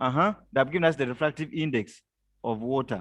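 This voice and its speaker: The intonation is lively. The background is quiet. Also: man. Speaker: teacher. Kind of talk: lecture. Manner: loud; call-and-response questioning.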